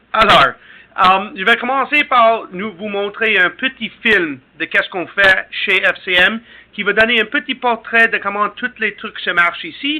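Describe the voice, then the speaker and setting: Fairly slow delivery with ordinary pitch variation. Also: man, high pitch for a man. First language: English (speaking French). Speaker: company representative. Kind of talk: webinar presentation. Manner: halting.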